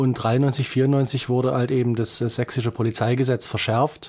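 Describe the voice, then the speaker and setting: A man at a medium pitch speaks with fairly even intonation in a plain, everyday voice, captured in a very clean recording against a silent background. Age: 40s. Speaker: lawyer and state politician. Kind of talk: interview. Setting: studio.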